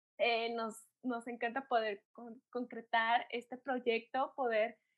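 At a very slow pace, a woman speaks with a high pitch. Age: 30s. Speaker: podcast co-host. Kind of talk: casual chat.

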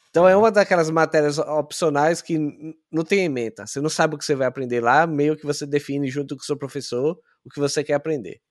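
A man with a plain, everyday voice speaks at a fairly quick pace over a quiet background. His pitch is fairly high, with ordinary pitch variation. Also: dry, close sound with no echo. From Brazil, Sergipe (Aracaju). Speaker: software engineer. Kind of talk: interview.

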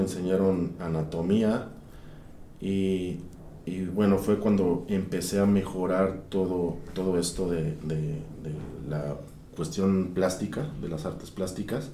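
A man speaks at a very slow pace with a very deep, low pitch and fairly even intonation. Audible room echo surrounds the voice. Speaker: sculptor and workshop director. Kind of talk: interview. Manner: halting.

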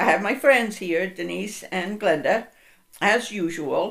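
Vocal fry colors this voice. The delivery is fairly slow, with lively intonation. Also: woman. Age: 70s. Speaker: podcast host. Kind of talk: personal monologue, storytelling.

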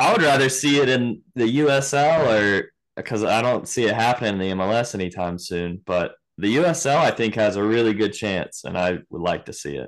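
An unremarkable speaking voice from a man with an American accent, medium in pitch, fairly quick, with lively intonation and a quiet background. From Virginia. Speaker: podcast host. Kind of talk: casual chat.

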